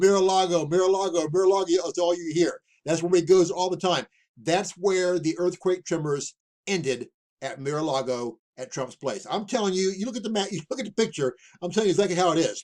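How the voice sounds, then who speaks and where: Speaking at a fairly quick pace, a man with a high pitch uses ordinary pitch variation. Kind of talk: end-times prophecy commentary. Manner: fast; animated.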